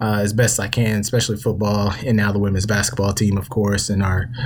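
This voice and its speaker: A man with a fairly low voice talks at a fairly quick pace over noticeable background noise. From South Carolina, US South. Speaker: podcast host. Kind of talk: casual chat. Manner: animated.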